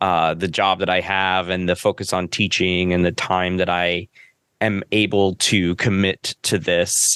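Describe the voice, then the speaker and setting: A man's very deep, low voice with a Californian accent, monotone and flat, at very even loudness and a fairly slow pace, bright and sharp in tone, in a dry, close sound with no echo against a quiet background. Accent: Valley boy Californian. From Los Angeles, San Fernando Valley. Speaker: psychology professor and podcaster. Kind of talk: casual interview.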